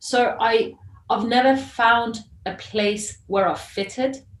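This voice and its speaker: The voice belongs to a woman and is somewhat breathy. Her intonation is fairly even. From Iran, then moved between many countries. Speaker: journalist and filmmaker. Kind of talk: interview.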